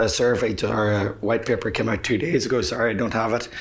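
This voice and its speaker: Fairly even intonation in an Irish accent, with audible room echo and noticeable background noise. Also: man. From Ireland. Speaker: public speaker, men's mental health advocate. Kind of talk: conference talk. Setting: stage with audience. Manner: fast; hesitant with fillers.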